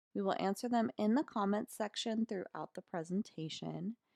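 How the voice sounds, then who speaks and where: A woman with an American accent speaks at a moderate pace, her tone dark and mellow and her intonation lively. The sound is dry and close with no echo, over a quiet background. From US South, North Carolina mountains. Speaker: content coordinator, former English teacher. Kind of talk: webinar presentation. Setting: webinar. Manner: formal.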